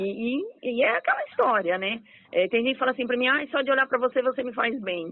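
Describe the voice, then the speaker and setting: A woman's cheerful, animated tone at a very fast pace, high in pitch with ordinary pitch variation. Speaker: radio host. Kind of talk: radio interview.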